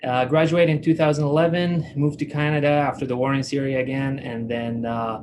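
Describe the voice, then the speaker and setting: A man speaks at a fairly quick pace with fairly even intonation. Audible room echo surrounds his voice. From Iraq (Baghdad). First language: Arabic. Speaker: dental technician. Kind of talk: live online presentation. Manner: hesitant, many fillers.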